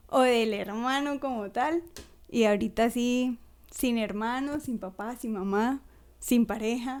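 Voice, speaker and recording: Speaking very slowly, a woman uses a high pitch and ordinary pitch variation on a very clean recording with a silent background. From Colombia, Ocaña. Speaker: schoolteacher. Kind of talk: casual chat.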